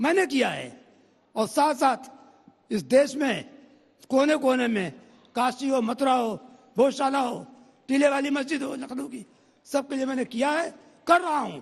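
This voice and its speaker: A man speaks with extremely high pitch and ordinary pitch variation. His speech has long, frequent pauses. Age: 70s. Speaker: senior lawyer and temple-movement litigant. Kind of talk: heated TV debate. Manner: animated.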